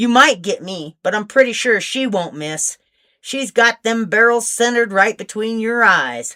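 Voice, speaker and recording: A put-on character voice moves at a moderate pace, with a dry, close sound that has no echo. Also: woman, fairly high pitch for a woman. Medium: read story.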